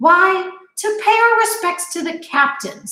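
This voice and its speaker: A woman's squeaky, put-on character voice at an extremely high pitch, fairly slow, with lively intonation and slight echo. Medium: read story. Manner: calm, formal.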